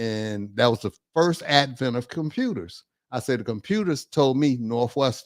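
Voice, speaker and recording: A man with an American accent and an unremarkable speaking voice talks at a moderate pace in a medium pitch with lively intonation. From Detroit, Michigan. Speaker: retired basketball coach. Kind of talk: casual storytelling interview.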